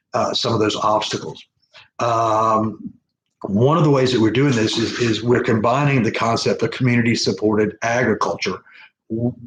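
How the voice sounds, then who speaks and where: A somewhat breathy voice at a moderate pace. Loudness stays very even, with fairly even intonation. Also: man, medium pitch for a man. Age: 60s. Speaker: small farmer and permaculture mentor. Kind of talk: live video presentation. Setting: live stream. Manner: halting, many fillers and restarts.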